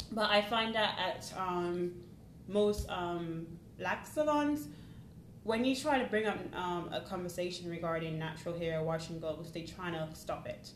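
A woman speaks at a fairly low pitch with lively intonation and a fairly slow pace. Noticeable background noise and audible room echo fill the recording. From Jamaica, then Northampton, England. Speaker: IT service delivery analyst. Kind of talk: casual interview chat.

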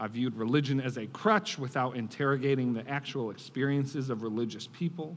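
With an American accent, a man talks at a fairly quick pace and medium pitch, hardly pausing. Audible room echo surrounds his voice. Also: ordinary pitch variation. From Buffalo, New York, US. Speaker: political strategist and author. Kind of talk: speech to church audience. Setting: church stage with audience.

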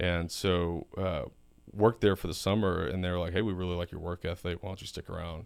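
In a Texan accent, a man talks fairly quickly with a very deep, low pitch and fairly even intonation, on a very clean recording with a silent background. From South Texas. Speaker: oilfield business executive. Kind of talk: casual interview.

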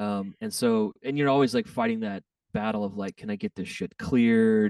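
Dry and close with no echo, a man's voice with an American accent sounds dark and mellow, fairly low in pitch with ordinary pitch variation. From Texas. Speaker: DJ and music producer. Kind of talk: casual chat.

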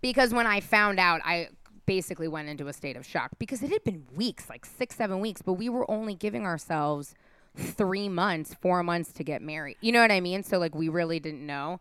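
Speaking with an American accent, a woman at a fairly low pitch uses lively intonation and big swings in loudness. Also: fairly quick pace. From San Francisco, California. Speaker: producer and on-air host. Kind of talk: casual chat.

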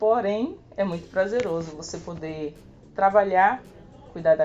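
Over music in the background, a woman speaks at a medium pitch and a fairly slow pace, with ordinary pitch variation. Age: 20s. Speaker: street sweeper. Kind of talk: recorded testimony.

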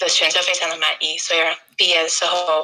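A woman speaks with an English accent at a moderate pace. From England. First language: English (speaking Chinese). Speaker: YouTuber and language learner. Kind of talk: interview. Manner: halting.

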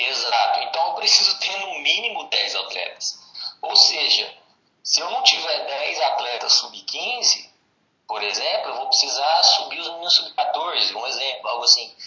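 Loudness swings widely as this man talks at a fairly slow pace. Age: 20s. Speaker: youth basketball coach. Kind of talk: casual interview.

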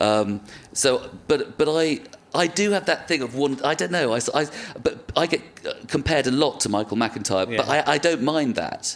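With a British accent, a man speaks at a moderate pace in a fairly high pitch with lively intonation, against noticeable background noise. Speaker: comedian and actor. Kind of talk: casual chat.

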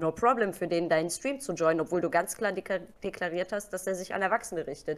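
This woman talks at a fairly quick pace in a plain, everyday voice. Her pitch sits in the medium range and varies in an ordinary way. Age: 30s. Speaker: Twitch streamer. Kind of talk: casual interview.

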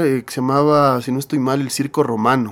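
This man has an ordinary speaking voice, fairly high pitched, and talks at a fairly quick pace. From Ecuador, Quito. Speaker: rock band singer and guitarist. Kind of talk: interview storytelling.

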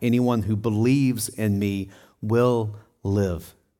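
A man with a Southern US accent, fairly low in pitch, in a monotone, flat intonation. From Tennessee. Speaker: pastor. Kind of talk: sermon. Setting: church.

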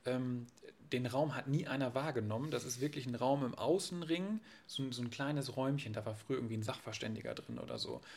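A man with an unremarkable speaking voice talks fairly quickly at a medium pitch with ordinary pitch variation. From northern Germany, Friesland coast. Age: 20s. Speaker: real estate agent. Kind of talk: casual interview.

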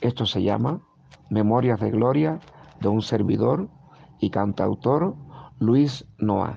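Very slowly and with long, frequent pauses, a man of medium pitch speaks with lively intonation and very even loudness. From Cuba, Guanajay (western Cuba). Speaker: singer-songwriter. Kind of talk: casual interview chat.

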